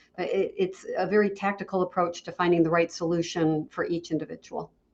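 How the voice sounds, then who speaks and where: Here is a woman with an unremarkable speaking voice at a medium pitch. She talks at a fairly quick pace with fairly even intonation. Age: 60s. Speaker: franchise consultant. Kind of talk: interview.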